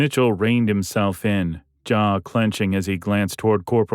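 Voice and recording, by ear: Reading aloud in a natural voice with fairly even intonation, the speaker is heard over a quiet background.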